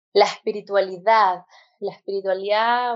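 At a fairly slow pace, a woman with a plain, everyday voice talks with fairly even intonation. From Chile. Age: 20s. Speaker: physician turned holistic health practitioner. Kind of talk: interview conversation.

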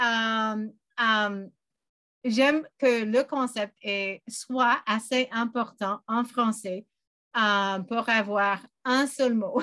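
Speaking at a very slow pace, a woman with an English accent has a fairly high pitch, a bright, sharp tone and fairly even intonation, in a very clean recording with a silent background and a dry, close sound with no echo. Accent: English-speaking learner accent in French. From western Canada, British Columbia. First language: English (speaking French). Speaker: language learner. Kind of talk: interview. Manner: halting, many fillers.

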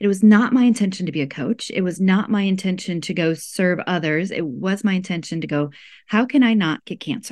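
Speaking at a fairly quick pace, a woman with an American accent has an unremarkable speaking voice, medium in pitch with ordinary pitch variation. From US Midwest, rural Iowa. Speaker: life coach and healer. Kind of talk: casual interview chat.

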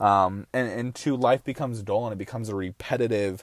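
A man talks fairly quickly in a plain, everyday voice at a medium pitch, in a dry, close sound with no echo. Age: 20s. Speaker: podcast host and entrepreneur. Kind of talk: motivational monologue.

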